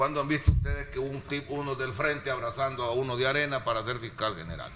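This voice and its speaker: A man speaks very fast at a medium pitch with ordinary pitch variation, and there is noticeable background noise along with audible room echo. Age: 60s. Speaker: political panelist. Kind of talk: panel debate.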